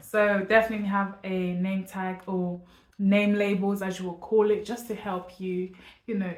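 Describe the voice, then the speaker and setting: Her intonation is monotone and flat as this woman speaks at a medium pitch. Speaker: parenting vlogger. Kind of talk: casual vlog to camera. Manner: fast.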